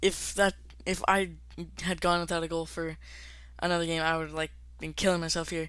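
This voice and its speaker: A fairly quick pace broken by long, frequent pauses, on a very clean recording with a silent background. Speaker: gaming YouTuber. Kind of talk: gameplay commentary. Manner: fast; casual, filler-heavy.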